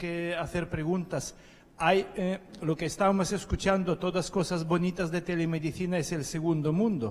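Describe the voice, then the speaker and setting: A man speaks at a high pitch and a moderate pace. His intonation stays fairly even. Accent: non-native. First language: not Spanish (speaking Spanish). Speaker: conference attendee. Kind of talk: panel discussion. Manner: halting.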